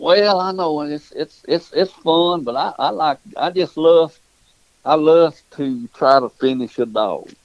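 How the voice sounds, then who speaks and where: A man with a Southern US accent talks at a fairly slow pace, the sound dry and close with no echo. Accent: Southern US rural. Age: 70s. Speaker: dog breeder and hunter. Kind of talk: casual interview.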